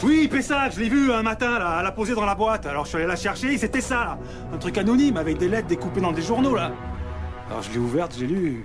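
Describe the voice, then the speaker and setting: Over music in the background, a man talks at a very fast pace in a high voice with very wide pitch swings. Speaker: actor. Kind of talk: TV drama scene. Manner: pleading, confessional.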